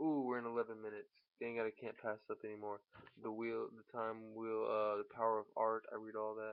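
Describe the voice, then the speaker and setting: Using monotone, flat intonation, a man with a medium-pitched voice talks at a fairly quick pace. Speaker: spiritual vlogger. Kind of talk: casual vlog monologue. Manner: halting.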